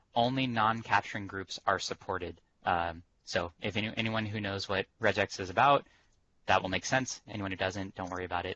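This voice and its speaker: A man is speaking here. His pitch varies in an ordinary way. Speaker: technical presenter. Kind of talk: webinar demo presentation. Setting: conference call. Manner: fast.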